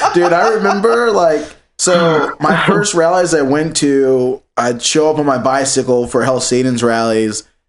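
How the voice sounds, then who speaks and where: Speaking with an American accent, a man in an unremarkable speaking voice uses a fairly high pitch, lively intonation and very even loudness, moving at a fairly slow pace with hardly any pauses. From Virginia, Richmond. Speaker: podcast host. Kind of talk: casual banter, profane chat. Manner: casual, joking, laughing often.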